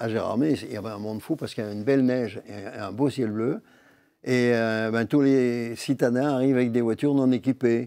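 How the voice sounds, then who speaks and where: Speaking at a moderate pace, a man has a medium pitch and a dark, mellow tone. His intonation stays fairly even. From Vosges, Lorraine, France. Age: 80s+. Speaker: humorist, storyteller. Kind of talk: interview answer.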